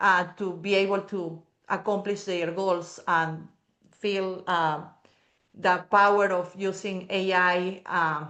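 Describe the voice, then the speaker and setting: This voice has a Peruvian accent and a bright, sharp tone. It moves at a very slow pace with monotone, flat intonation. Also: woman, medium pitch for a woman. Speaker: AI consultant and speaker. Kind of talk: interview answer.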